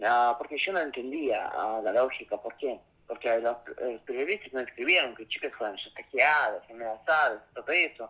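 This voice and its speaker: A woman with a very deep, low pitch speaks at a moderate pace, her intonation lively. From Russia, Saint Petersburg. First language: Russian (speaking Spanish). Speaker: investigative journalist and author. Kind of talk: interview. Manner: halting, frequent fillers.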